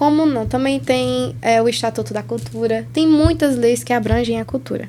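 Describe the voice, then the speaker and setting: Background noise is noticeable throughout. The speech moves at a moderate speed. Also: woman. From Brazilian Northeast. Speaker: podcast host. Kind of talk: interview.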